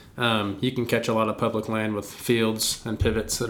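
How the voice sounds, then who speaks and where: Male voice, mid-range in pitch. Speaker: podcast host and archery coach. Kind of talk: casual chat. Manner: animated, joking.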